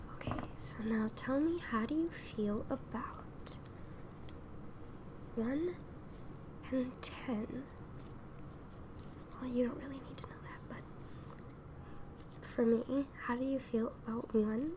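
Whispering and soft-spoken, a woman talks at a very slow pace with long, frequent pauses over noticeable background noise. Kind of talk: soft-spoken roleplay addressing viewer. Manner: soft close whispered ASMR voice. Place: home room. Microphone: earbuds.

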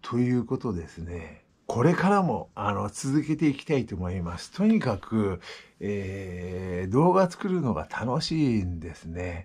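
Relaxed and somewhat breathy, a man with a fairly low voice speaks at a fairly slow pace, with very wide pitch swings and big swings in loudness. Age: 60s. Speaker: vlogger. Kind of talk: casual vlog monologue; casual vlog chat. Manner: relaxed, halting with fillers. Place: home room. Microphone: phone near.

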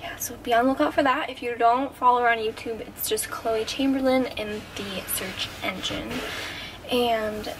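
A woman speaks at a moderate pace with fairly even intonation. Her pitch is high, and there is noticeable background noise. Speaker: fitness vlogger. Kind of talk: casual vlog chat. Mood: cheerful, laughing. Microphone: phone near.

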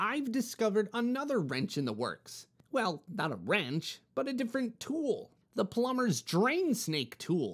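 This is a put-on character voice. The pitch sits fairly high. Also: moderate pace. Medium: read story. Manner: earnest, explanatory.

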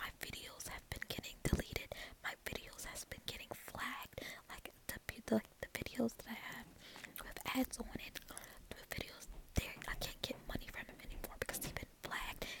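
Someone whispers softly at a moderate pace, leaving long, frequent pauses. The sound is dry with no echo, though loud background noise is present. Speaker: YouTuber. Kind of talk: casual vlog chat. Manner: soft ASMR whisper, complaining. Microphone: phone near.

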